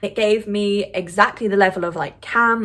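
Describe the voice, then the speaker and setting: The recording is very clean, with a silent background. A woman with a British accent speaks at a medium pitch in an animated tone. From UK. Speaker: film review vlogger. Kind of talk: casual vlog review.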